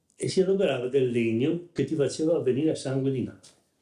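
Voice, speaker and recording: This man talks at a fairly quick pace with ordinary pitch variation, his dark, mellow tone somewhat breathy. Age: 70s. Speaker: wooden mould maker, craftsman. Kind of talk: interview. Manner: halting, with false starts.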